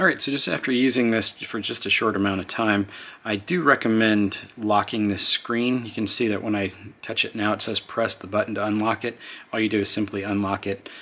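A man talks at a fairly quick clip in a normal speaking voice. His pitch sits fairly low, and his intonation stays fairly even. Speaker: product reviewer. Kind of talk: tutorial. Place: home room.

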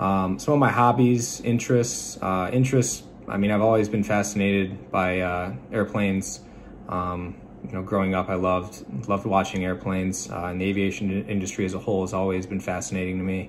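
Light background noise sits under a man's fairly low voice. His intonation stays fairly even. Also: fairly quick pace. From Michigan. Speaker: student pilot and Navy veteran. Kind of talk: class self-introduction video. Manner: halting with frequent fillers. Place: home room. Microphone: phone near.

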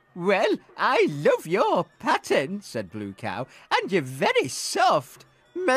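The passage is read aloud. The delivery uses a natural voice.

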